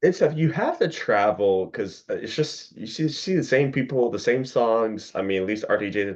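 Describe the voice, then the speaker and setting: An unremarkable speaking voice moves at a fairly quick pace with lively intonation against a quiet background. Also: man. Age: 30s. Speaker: podcast host. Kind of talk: casual chat.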